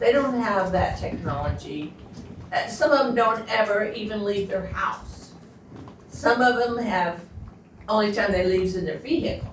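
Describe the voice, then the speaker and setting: Noticeable background noise and audible room echo accompany a woman whose fairly high voice has lively intonation. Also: moderate pace. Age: 80s+. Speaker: resident speaking at public meeting. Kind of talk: public comment at county meeting.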